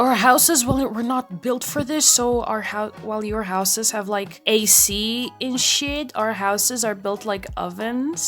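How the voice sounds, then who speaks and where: Against noticeable background noise, a woman with fairly high pitch and ordinary pitch variation speaks at a fairly slow pace with hardly any pauses. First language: Portuguese. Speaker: art YouTuber. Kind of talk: casual rambling vlog while drawing.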